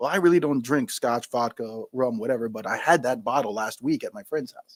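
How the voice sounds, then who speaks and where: A New York accent at a fairly quick pace, with lively intonation, big swings in loudness, and a dry, close sound with no echo. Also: man, medium pitch for a man. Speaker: spirits entrepreneur and retired Marine. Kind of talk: interview. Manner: fast.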